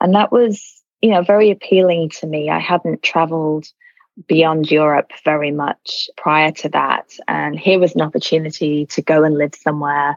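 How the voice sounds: A woman speaks in a low voice with little pitch movement, recorded with a dry, close sound and no echo.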